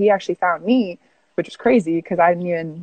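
Against a quiet background, a woman speaks at a fairly low pitch in a dry sound with no echo. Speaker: remote guest. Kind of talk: interview answer. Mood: relaxed, chatty. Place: home room. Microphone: earbuds.

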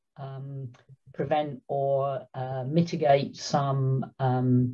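A somewhat breathy woman with a very deep, low pitch over a quiet background. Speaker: panelist. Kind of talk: webinar presentation. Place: home room. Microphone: webcam.

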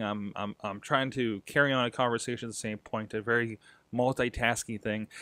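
Over a quiet background, a man speaks at a moderate pace in a dry sound with no echo. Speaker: podcast host. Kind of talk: casual vlog chat. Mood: reflective, slightly self-critical. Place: home room. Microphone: studio mic.

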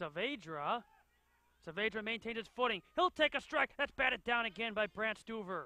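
Lively intonation from a man, high in pitch, moving at a moderate pace. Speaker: soccer play-by-play commentator. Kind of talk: live sports commentary over match highlights. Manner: clipped, urgent calls of names and shots.

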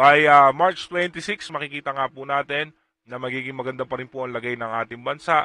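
A man at a medium pitch, talking at a fairly quick pace with ordinary pitch variation. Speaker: weather update presenter. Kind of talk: weather forecast narration. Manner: halting, frequent fillers.

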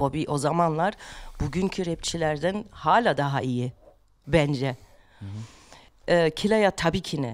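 Against a quiet background, the voice moves at a very slow pace with lively intonation. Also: woman. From Germany. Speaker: rapper; podcast guest. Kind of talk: casual chat; interview answer. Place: studio. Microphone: studio mic.

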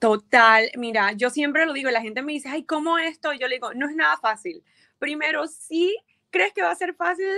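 A woman's raised, projected voice, bright and sharp in tone, with lively intonation over a quiet background. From Colombia, Montería / Barranquilla (Caribbean coast); Colombia. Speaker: violinist and DJ; DJ. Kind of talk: interview. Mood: warm, upbeat, reflective. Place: home room. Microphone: video call.

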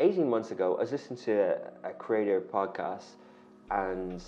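There is light background noise as a man talks with an Irish accent. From Ireland. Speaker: media company founder and CEO; guest. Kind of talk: interview. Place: studio. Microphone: lapel.

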